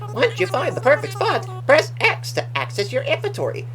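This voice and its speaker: Over loud background music, someone does a put-on character voice at a moderate pace. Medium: game stream. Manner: upbeat, polite.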